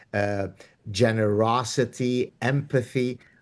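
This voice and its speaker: Against a quiet background, a man with an Arabic accent speaks at a medium pitch. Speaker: professor and author. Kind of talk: interview.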